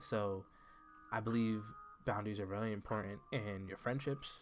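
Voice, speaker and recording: Over music in the background, the speaker talks at a fairly quick pace with fairly even intonation. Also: man. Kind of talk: casual talk to camera.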